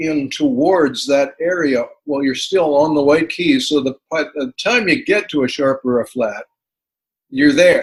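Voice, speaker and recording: At a moderate pace, a man with a plain, everyday voice speaks in an American accent at a fairly high pitch with ordinary pitch variation. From Canadian, living in the United States. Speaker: musician, singer-songwriter, piano learner. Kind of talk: interview answer.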